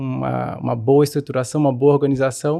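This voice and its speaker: Speaking at a moderate pace with fairly even intonation, a man uses a plain, everyday voice. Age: 20s. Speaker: lawyer. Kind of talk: podcast interview.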